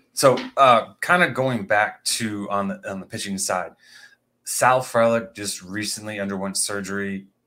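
On a very clean recording with a silent background, a man with an American accent speaks at a fairly slow pace in a bright, sharp tone, his fairly low pitch varying in an ordinary way and his loudness swinging widely. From Indiana. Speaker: podcast co-host. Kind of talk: casual sports podcast chat.

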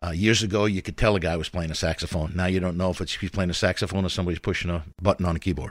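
Over a silent background on a very clean recording, a man with an American accent talks very fast in a very deep, low voice, with monotone, flat intonation and hardly any pauses. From New York. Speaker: volunteer radio host and music teacher. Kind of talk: casual interview.

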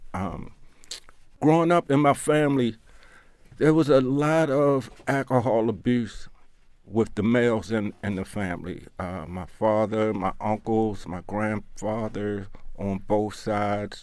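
A man speaks with an American accent in a normal speaking voice. His pitch is fairly low with ordinary pitch variation, at a fairly slow pace. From Baltimore, Maryland (East Baltimore). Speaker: person in long-term addiction recovery. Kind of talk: interview testimony.

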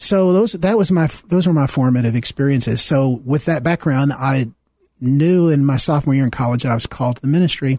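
An American man speaks at a fairly quick pace with very even loudness and a dark, mellow tone. His pitch is fairly high, with ordinary variation. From US South. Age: 70s. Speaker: minister. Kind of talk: radio interview. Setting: studio.

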